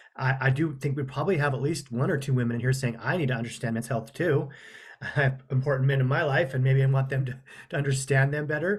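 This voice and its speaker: The speaker talks very fast, with fairly even intonation and a somewhat breathy sound. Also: man, medium pitch for a man. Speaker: counselor leading a webinar. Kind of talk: webinar presentation. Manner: casual, with fillers and restarts.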